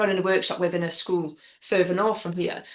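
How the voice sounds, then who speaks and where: Here a woman speaks with a North Wales accent. Her pitch is medium and her pace fairly quick. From Wrexham, North Wales. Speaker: spoken word poet; youth workshop leader. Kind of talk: interview answer. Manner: open, candid.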